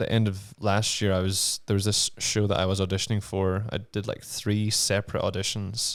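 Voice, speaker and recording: A man with a Northern Irish accent talks at a fairly slow pace in a fairly low pitch, on a very clean recording with a silent background. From Northern Ireland. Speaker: actor. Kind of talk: casual chat. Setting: studio.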